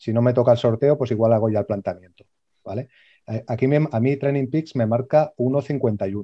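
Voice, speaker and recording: At a moderate pace, a man with a plain, everyday voice speaks at a medium pitch with fairly even intonation. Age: 40s. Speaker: amateur runner. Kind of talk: casual chat.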